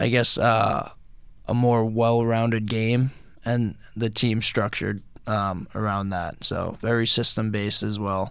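A man with a medium pitch and fairly even intonation talks at a fairly slow pace in an ordinary speaking voice. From Rockaway, Queens, New York. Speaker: professional hockey player. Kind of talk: radio interview. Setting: radio studio.

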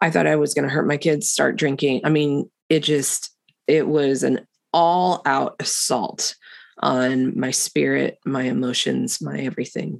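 Her vocal fry showing, a woman speaks at a fairly slow pace with a very deep, low pitch and ordinary pitch variation. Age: 50s. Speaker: podcast host. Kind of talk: faith-based conversation.

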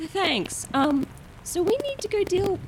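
A woman's squeaky, put-on character voice, extremely high-pitched with very wide pitch swings, at a fairly slow pace over clear background noise. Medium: actual play.

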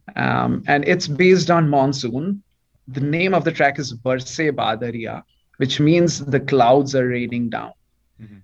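The speaker goes at a fairly slow pace in an Indian accent, with ordinary pitch variation. Loudness swings widely throughout. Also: man, fairly high pitch for a man. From eastern India. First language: Bengali. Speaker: PhD student in aerospace and astrophysics. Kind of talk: radio interview. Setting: video call.

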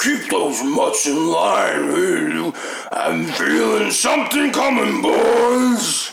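Very slow speech from a man in a put-on character voice. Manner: gruff, commanding.

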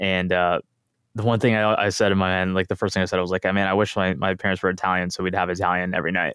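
Very fast and very deep, a man speaks in an American accent with flat, monotone intonation and very even loudness. The recording is very clean, with a silent background. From US, Tulsa, Oklahoma. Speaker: poker event organizer. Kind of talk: casual interview. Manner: halting, many fillers.

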